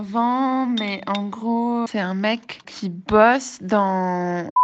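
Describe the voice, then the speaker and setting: A woman with fairly high pitch talks with hardly any pauses and fairly even intonation. Her loudness swings widely. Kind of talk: voice message. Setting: outdoors in a park, then at home. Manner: casual, hesitant.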